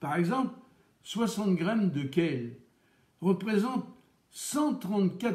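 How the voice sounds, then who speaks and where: Speaking with a Charente accent, a man has a dark, mellow tone. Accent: Charente regional French. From France, Charente. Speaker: chef and radio host. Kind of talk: cooking radio show talk. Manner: casual, with hesitations.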